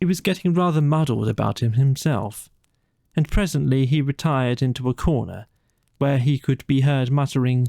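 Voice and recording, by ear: A man speaks at medium pitch and a moderate pace, with ordinary pitch variation. His tone is dark and mellow, with vocal fry.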